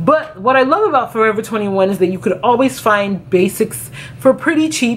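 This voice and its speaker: A woman talks at a very fast pace. Light background noise can be heard. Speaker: fashion vlogger. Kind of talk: casual vlog chat. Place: home room.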